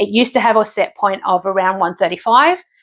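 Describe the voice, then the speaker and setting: The speaker has an Australian accent and a fairly quick pace. The intonation is fairly even, against a quiet background. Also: woman. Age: 50s. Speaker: vlogger. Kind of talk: casual vlog update. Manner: halting, many fillers.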